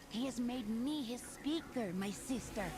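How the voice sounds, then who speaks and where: Someone performs a put-on character voice at a moderate pace against loud background noise. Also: female-sounding voice, high pitch for a woman. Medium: video game.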